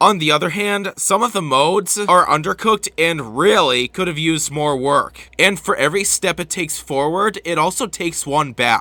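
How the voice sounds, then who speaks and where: A man speaks with a high pitch and a bright, sharp tone at a moderate pace. His intonation is lively, and he barely pauses. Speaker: video game reviewer. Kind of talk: game review narration.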